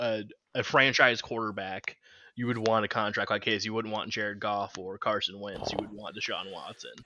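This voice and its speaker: This is an unremarkable speaking voice with an American accent. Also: man. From Kansas City, Missouri. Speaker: podcast co-host. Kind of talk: casual chat.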